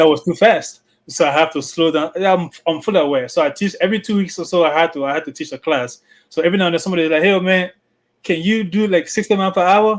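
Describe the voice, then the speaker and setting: Against a quiet background, a man with a high pitch speaks at a very fast pace. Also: ordinary pitch variation. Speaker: open mic panelist, part-time trainer. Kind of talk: casual chat.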